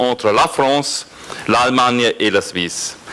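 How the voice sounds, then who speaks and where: A man speaks with a non-native accent over noticeable background noise. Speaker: regional politician. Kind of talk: reading aloud a prepared speech. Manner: halting.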